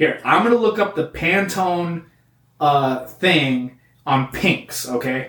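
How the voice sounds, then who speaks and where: Here a man speaks at a very slow pace, his fairly high pitch carrying lively intonation. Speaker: comedy podcast host. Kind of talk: angry rant, mock-outraged comedic tirade about crayon colors. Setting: studio.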